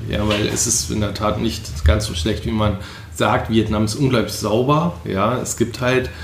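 Amid noticeable background noise and audible room echo, a man speaks at a fairly low pitch and fairly slow pace with ordinary pitch variation. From Rhineland, Germany (Leverkusen). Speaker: spice trader. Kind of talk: casual chat.

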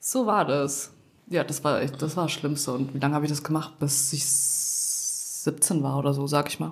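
This woman has a very deep, low pitch, a somewhat breathy voice and fairly even intonation at a moderate pace. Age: 20s. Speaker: podcast co-host, law graduate. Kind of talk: casual chat.

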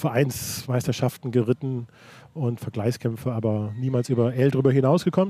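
A man speaks at a moderate pace in a dark, mellow, somewhat breathy voice of medium pitch. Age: 60s. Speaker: equestrian federation president. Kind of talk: interview. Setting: in-person meeting. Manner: halting, frequent repetitions.

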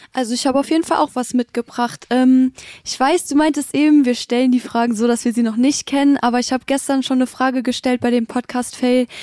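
A woman speaks at a high pitch in a dark, mellow tone, at a fairly quick pace and with monotone, flat intonation. The sound is dry and close, with no echo. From Germany, Bitburg area (Eifel). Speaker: social media agency employee. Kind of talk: casual chat.

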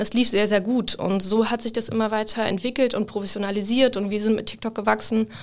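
A woman with a fairly high pitch talks at a fairly quick pace in monotone, flat intonation, with hardly any pauses. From northern Germany, Hamburg. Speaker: social media marketing lead. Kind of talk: casual interview. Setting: studio.

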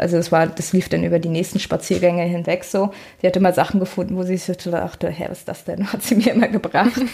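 A woman's very fast speech at medium pitch with fairly even intonation. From northern Germany, Rostock. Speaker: dog trainer. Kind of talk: casual chat.

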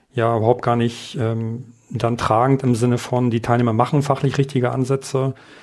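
In a very clean recording with a silent background, a man with a medium pitch talks at a moderate pace, his intonation monotone and flat. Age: 50s. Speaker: adult education lecturer. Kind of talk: interview.

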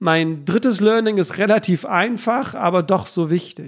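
This man has a high pitch. His pitch varies in an ordinary way. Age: 30s. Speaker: podcast host and health company founder. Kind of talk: solo podcast monologue.

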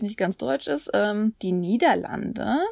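A woman with a fairly high pitch sweeps through very wide pitch swings amid noticeable background noise. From Germany. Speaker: podcast co-host, Korean language teacher. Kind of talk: language tutorial.

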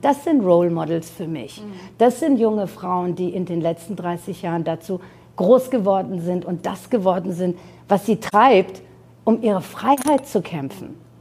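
A woman speaks at a fairly slow pace with a medium pitch. Her intonation is lively, in a normal speaking voice. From Iran, then Germany from age nine. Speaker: fashion designer and entrepreneur. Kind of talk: interview.

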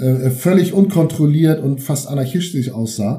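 Somewhat breathy, a man speaks in a fairly high pitch with a dark, mellow tone. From Schleswig-Holstein (Eutin, Ostholstein). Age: 50s. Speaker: football historian and author. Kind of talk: interview.

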